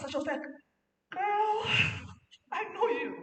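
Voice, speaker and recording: A woman talks at a fairly quick pace, with audible room echo in the recording. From Nigeria, Lagos. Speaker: parenting speaker. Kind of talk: conference talk.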